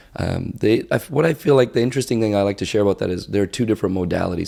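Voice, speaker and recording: With a Canadian accent, a man speaks very fast in a fairly low pitch, his tone dark and mellow and his pitch varying in an ordinary way. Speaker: optometrist and practice owner. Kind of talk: podcast interview. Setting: in-person recording at a conference expo.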